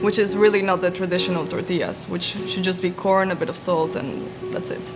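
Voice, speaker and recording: Over music in the background, a soft-spoken woman with a medium pitch talks at a very fast pace with fairly even intonation. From Mexico. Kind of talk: interview answer.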